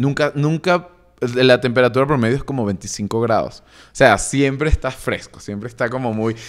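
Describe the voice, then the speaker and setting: A man talks at a medium pitch with ordinary pitch variation, the background quiet. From Venezuela, Caracas. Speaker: music producer and DJ; DJ. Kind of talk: casual interview chat. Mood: relaxed, animated. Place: studio. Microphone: studio mic.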